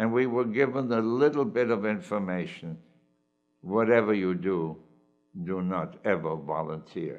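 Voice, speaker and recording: With music in the background, a man speaks at a moderate pace in a fairly low pitch, using lively intonation. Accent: German. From Germany. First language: German. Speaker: Holocaust survivor. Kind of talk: personal testimony.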